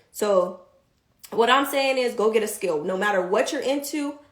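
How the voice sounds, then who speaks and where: A woman speaks with ordinary pitch variation. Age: 30s. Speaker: vlogger. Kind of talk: casual livestream talk. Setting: livestream. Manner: fast; animated.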